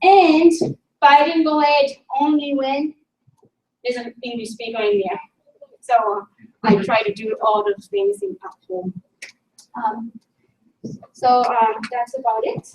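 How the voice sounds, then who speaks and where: Speaking at a fairly slow pace with long, frequent pauses, a woman uses a high pitch and lively intonation, her loudness swinging widely. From Japan. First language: Japanese. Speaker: linguist and language teacher. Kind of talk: conference presentation. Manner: halting.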